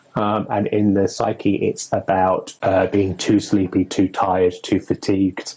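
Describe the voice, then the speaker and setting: There are hardly any pauses as a man with a fairly low, somewhat breathy voice and a dark, mellow tone speaks in a monotone, flat way. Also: fairly slow pace, very even loudness. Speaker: witch and occult herbalism presenter. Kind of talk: casual educational discussion. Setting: Instagram live video stream.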